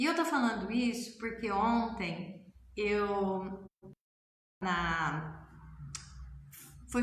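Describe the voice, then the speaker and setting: This woman's voice has ordinary pitch variation, with audible echo from the room. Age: 60s. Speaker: family constellation therapist and author. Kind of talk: casual talk to camera. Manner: conversational.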